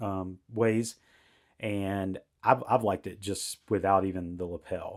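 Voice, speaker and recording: On a very clean recording with a silent background, a man talks in a monotone, flat way at a fairly low pitch. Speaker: tech reviewer. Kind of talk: product review tutorial. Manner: loud; halting, many fillers.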